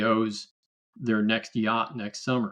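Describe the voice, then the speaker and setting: A man at a fairly slow pace. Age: 60s. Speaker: political candidate. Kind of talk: podcast interview. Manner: animated; halting.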